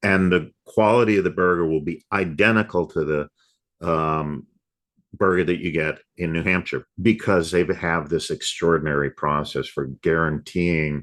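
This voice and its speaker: Against a quiet background, a man speaks with a very deep, low pitch and fairly even intonation. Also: moderate pace. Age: 60s. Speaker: software company CEO. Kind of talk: podcast interview.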